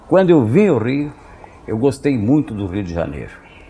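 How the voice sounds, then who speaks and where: There is noticeable background noise behind a man speaking at medium pitch. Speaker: sports radio commentator and announcer. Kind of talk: interview answer. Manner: soft-spoken, direct, simple, confident.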